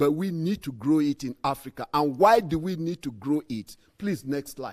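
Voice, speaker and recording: Music plays behind a man whose fairly high voice moves with lively intonation. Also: moderate pace. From Nigeria. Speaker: agricultural scientist. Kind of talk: conference presentation. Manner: animated.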